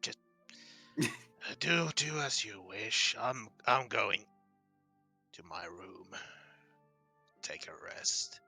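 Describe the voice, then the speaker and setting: A man's raspy, rumbling put-on character voice, fairly high in pitch, at a very slow pace with long, frequent pauses and faint music in the background. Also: big swings in loudness. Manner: grumbling, frustrated.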